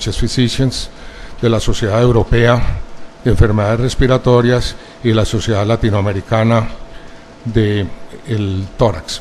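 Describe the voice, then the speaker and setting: A man at a medium pitch and moderate pace, monotone and flat, with audible room echo and noticeable background noise. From Colombia, Medellín. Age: 70s. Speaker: pulmonologist, expert witness. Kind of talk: court testimony. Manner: formal.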